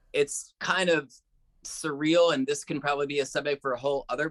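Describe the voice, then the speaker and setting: A man speaks with a fairly high pitch. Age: middle-aged. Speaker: drummer and music teacher. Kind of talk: podcast interview. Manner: animated.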